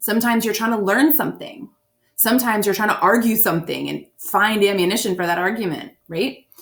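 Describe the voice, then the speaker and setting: A woman talks at a very fast pace with a fairly high pitch and ordinary pitch variation. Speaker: SAT prep teacher. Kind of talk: recorded lesson.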